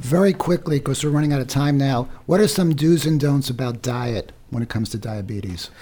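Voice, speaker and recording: A man with a dark, mellow, somewhat breathy voice, fairly high in pitch, with lively intonation, at a fairly quick pace with hardly any pauses. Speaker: radio host. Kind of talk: radio interview. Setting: studio.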